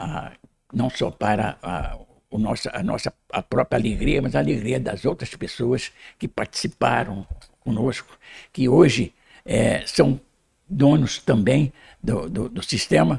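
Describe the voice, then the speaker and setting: Fairly slow speech with vocal fry, very wide pitch swings and long, frequent pauses, in a dry, close sound with no echo. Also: man, medium pitch for a man. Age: 80s+. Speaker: cooperative founder, retired public prosecutor. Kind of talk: interview. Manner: halting, many repetitions.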